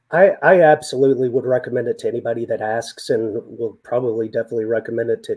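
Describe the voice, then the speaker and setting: A man with a West Texas accent at a medium pitch, ordinary pitch variation and a very fast pace. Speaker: senior loan officer. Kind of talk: interview.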